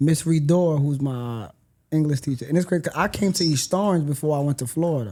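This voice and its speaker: A man speaks at a fairly quick pace, somewhat breathy, with a dark, mellow tone. His pitch varies in an ordinary way. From Haiti. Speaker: podcast guest. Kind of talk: casual chat.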